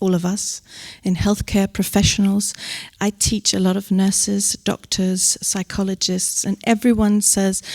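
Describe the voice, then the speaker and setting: A woman's medium-pitched voice, flat and monotone, very even in loudness, fairly slow, with a dry, close sound and no echo. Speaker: psychologist at suicide prevention helpline. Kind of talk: panel talk.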